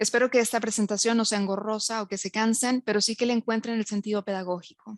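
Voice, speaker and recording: A woman with a fairly high pitch speaks at a very fast pace with hardly any pauses. Her intonation is monotone and flat, and the sound is dry and close with no echo. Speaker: university lecturer and researcher. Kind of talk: lecture. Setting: online webinar.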